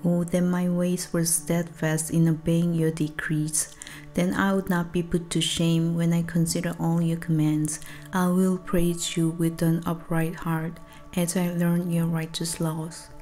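A soft-spoken woman at a fairly low pitch, calm tone, monotone, flat intonation and very even loudness, at a fairly slow pace with faint music in the background. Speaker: songwriter. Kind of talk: soft-spoken ASMR Bible reading. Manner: soft-spoken, calm, slow. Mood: earnest, devotional. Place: home room. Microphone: studio mic.

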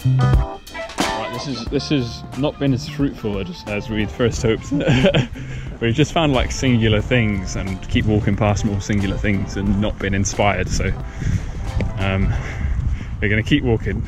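Clear music plays behind a man who speaks at a fairly slow pace. His delivery has long, frequent pauses, and the sound is dry with no echo. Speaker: parkour vlogger. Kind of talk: casual vlog chat. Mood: upbeat, joking. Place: street. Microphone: phone near.

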